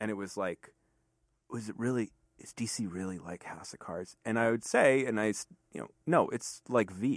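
Over a quiet background, a man with an ordinary speaking voice talks at a moderate pace and a fairly low pitch, with ordinary pitch variation and a dry, close sound with no echo. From Fairfax County, Virginia. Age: 30s. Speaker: magazine editor and lecturer. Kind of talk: casual chat.

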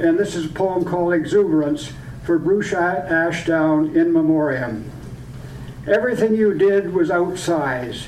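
Noticeable background noise accompanies a voice moving at a fairly slow speed. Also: man. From Point Edward, Ontario. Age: 80s+. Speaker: poet. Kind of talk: poetry reading. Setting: restaurant event with audience.

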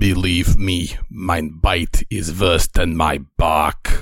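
A man puts on a character voice, growling and raspy at a very deep, low pitch. He speaks at a very slow pace. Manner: growling, menacing.

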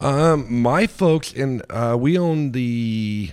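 Lively intonation from a man speaking in an American accent. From US, southern Oregon. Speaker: local business owner. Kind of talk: casual chat. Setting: home garage.

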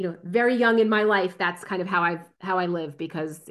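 A woman with an American accent talks at a fairly quick pace in a fairly low pitch. Hers is an ordinary speaking voice with ordinary pitch variation. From New Jersey. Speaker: strategy consultant. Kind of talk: casual interview.

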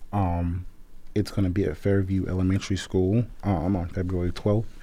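A man speaks at a very deep, low pitch. His tone is dark and mellow, and his pace is moderate. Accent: American. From Memphis, Tennessee. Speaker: city commission chair. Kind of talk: radio interview.

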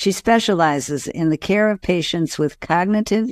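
The pitch shows ordinary variation. It is an unremarkable speaking voice. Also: woman, very clean recording, silent background. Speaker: podcast host. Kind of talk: interview.

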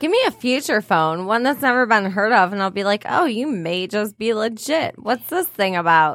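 In a normal speaking voice, a woman talks at a moderate pace with hardly any pauses, fairly high pitch and lively intonation. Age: 30s. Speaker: podcast co-host. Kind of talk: casual chat.

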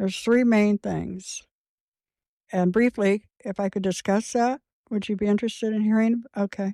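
Heard in a dry, close recording with no echo, a woman with a Midwestern American accent speaks at a moderate pace and medium pitch, with a dark, mellow tone and monotone, flat intonation. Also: very clean recording, silent background. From Indiana, Clay County. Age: 60s. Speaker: homesteader and sustainability educator. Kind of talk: interview.

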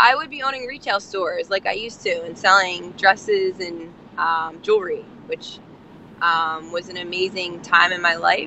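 A woman with a New Jersey accent, medium pitch, ordinary pitch variation, a moderate pace and big swings in loudness. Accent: New Jersey American. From New Jersey, near Atlantic City. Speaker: nonprofit founder and homelessness activist. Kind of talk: casual interview. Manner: hesitant, many fillers.

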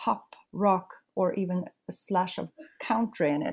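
A woman's somewhat breathy voice with a Swedish accent, a dark, mellow tone and ordinary pitch variation. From Sweden. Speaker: rock singer. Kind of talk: interview.

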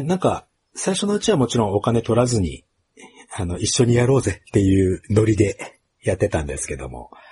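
A man's dark, mellow voice at a medium pitch, with vocal fry, very wide pitch swings and a fairly quick pace. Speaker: podcast host. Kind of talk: casual interview.

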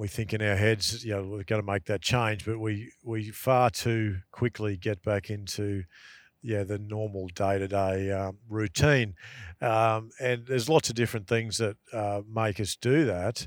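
A man with a strong Australian accent speaks at a fairly low pitch and fairly slow pace with fairly even intonation, on a very clean recording with a silent background. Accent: broad Australian. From rural Queensland, Australia (Dalby). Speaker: outdoor travel content creator. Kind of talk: casual interview. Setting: in a car. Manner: halting, many fillers.

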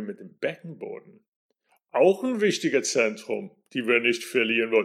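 Recorded very cleanly against a silent background, a man speaks with an American accent. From US, New York. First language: English (speaking German). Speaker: NLP trainer and singing teacher. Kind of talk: solo podcast talk.

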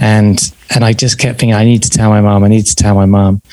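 A man's fairly low voice in a southern English accent, with fairly even intonation. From southern England. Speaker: podcast host and psychotherapist in training. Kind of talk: interview.

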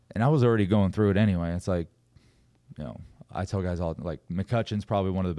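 Here a man with an American accent talks at a very fast pace, his pitch very deep and low and his tone dark and mellow. The recording is very clean, with a silent background. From California. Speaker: former pro baseball player, coach. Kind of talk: casual chat. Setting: studio.

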